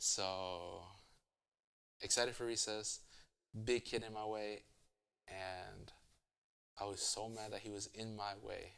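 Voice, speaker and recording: A man's fairly low voice with a Spanish accent and a bright, sharp tone, monotone and flat, at a very slow pace with long, frequent pauses. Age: 20s. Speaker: interviewee. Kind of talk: casual interview. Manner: halting.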